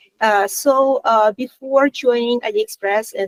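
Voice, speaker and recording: A woman speaks at a high pitch, recorded dry and close with no echo. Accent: non-native. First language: Russian. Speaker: content design lead. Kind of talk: panel self-introduction. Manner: hesitant, many fillers.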